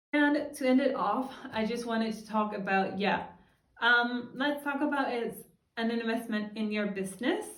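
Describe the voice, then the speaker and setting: A woman at fairly high pitch and a moderate pace, with ordinary pitch variation and audible room echo. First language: Danish. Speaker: freelancer and vlogger. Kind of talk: casual tutorial vlog.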